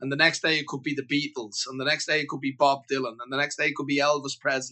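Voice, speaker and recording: A man with a Dublin accent. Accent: Dublin Irish. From Ireland, Dublin (Beaumont). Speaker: singer-songwriter. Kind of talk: casual interview.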